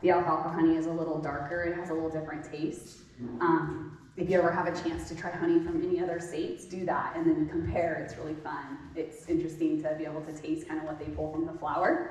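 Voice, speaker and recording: This woman talks at a very fast pace with hardly any pauses, in a fairly low, monotone, flat voice. Noticeable background noise and audible room echo fill the recording. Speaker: beekeeper. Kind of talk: lecture. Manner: loud; casual, with many filler ums.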